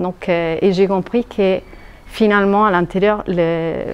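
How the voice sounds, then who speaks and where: Medium-pitched woman's voice, monotone and flat in intonation, amid noticeable background noise. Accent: Italian. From Italy. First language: Italian (speaking French). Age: 40s. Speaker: hypnotherapy trainee, luxury sector worker. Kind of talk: testimonial interview. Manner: hesitant, many fillers.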